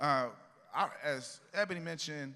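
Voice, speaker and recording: In a Southern US accent, a man talks in an animated tone, his voice bright and sharp. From US South, Columbia, South Carolina. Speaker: panel moderator, tech company CEO. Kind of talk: conference panel moderation. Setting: stage with audience.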